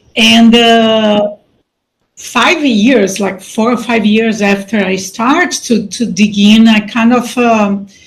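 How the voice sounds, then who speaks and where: A woman with a Brazilian accent speaks very slowly at a fairly high pitch. Her voice is somewhat breathy, with fairly even intonation. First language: Portuguese. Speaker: life coach and mentor. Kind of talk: casual interview.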